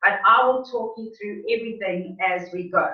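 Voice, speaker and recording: A woman speaks at a fairly slow pace with a fairly high pitch. Hers is an unremarkable speaking voice. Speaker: fitness instructor. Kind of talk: tutorial. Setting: video call.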